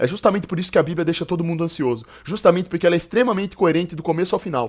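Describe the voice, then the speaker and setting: A man with a high pitch talks in an animated tone, recorded very cleanly over a silent background. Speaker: streamer reacting to videos. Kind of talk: live stream reaction commentary. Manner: fast.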